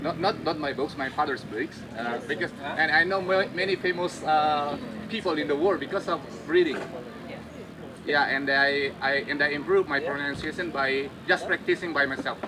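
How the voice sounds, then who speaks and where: A man at a fairly high pitch, with noticeable background noise. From Indonesia. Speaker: English teacher. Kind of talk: panel discussion. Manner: halting.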